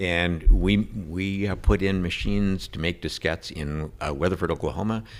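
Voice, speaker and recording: Here a man speaks with an Upper Midwest accent at a moderate pace. His intonation is lively. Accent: Upper Midwest American. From Minnesota, Saint Paul area. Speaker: state senator. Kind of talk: interview conversation.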